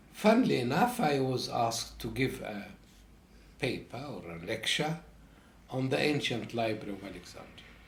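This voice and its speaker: A man at a moderate pace, with audible room echo and big swings in loudness. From Egypt. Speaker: professor. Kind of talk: interview. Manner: halting.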